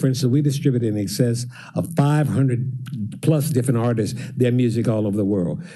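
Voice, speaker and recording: Amid audible room echo, a man with a dark, mellow tone and medium pitch speaks at a fairly quick pace, somewhat breathy, with ordinary pitch variation. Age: 80s+. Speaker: songwriter and music business owner. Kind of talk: public address to council.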